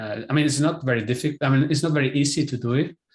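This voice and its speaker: A man speaks in a somewhat breathy voice. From Spain. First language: Spanish. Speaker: film director. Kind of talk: interview. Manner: halting.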